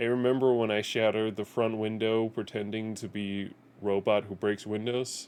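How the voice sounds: Intonation stays fairly even in a natural reading voice.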